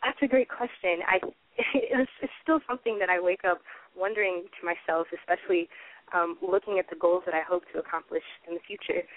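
A woman speaks with an American accent in a normal speaking voice at medium pitch. Her pace is fairly quick, with ordinary pitch variation. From US South, Atlanta. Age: 20s. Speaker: novelist. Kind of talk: interview.

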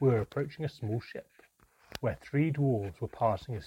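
The voice is reading aloud in a natural voice, with ordinary pitch variation.

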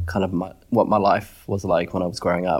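At a fairly quick pace, a man with an Australian accent speaks at a fairly low pitch. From China, raised in Australia. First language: Chinese. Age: 30s. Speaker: radiologist. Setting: online video call.

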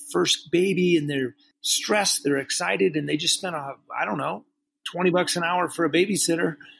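An unremarkable speaking voice at a fairly quick pace. Pitch variation is ordinary. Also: man. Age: 50s. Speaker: master sommelier and restaurateur. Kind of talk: interview.

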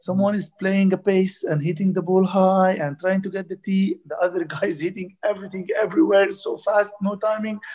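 Talking fairly quickly with hardly any pauses, a man with an Arabic accent uses a high pitch and fairly even intonation. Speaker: squash coach. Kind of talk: interview. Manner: halting.

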